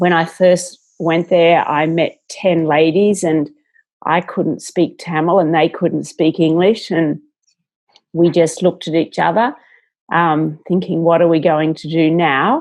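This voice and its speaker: In an Australian accent, a woman speaks fairly slowly in a fairly low, flat monotone. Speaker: entrepreneur. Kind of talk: interview.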